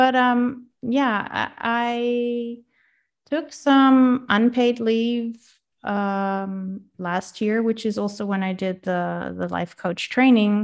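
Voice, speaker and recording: With a Dutch accent, a woman talks at a very slow pace and fairly high pitch. Her intonation is fairly even, and the background is quiet. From Netherlands. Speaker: life coach. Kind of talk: interview.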